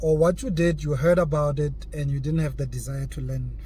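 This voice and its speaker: There is audible room echo. A man talks with a non-native accent. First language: not English. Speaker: crypto YouTuber. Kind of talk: casual vlog monologue. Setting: in a car. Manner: halting, repeats words.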